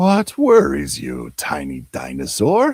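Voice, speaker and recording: Loud and at a fairly slow pace, a man delivers a put-on character voice. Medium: read story. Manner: calm, unbothered.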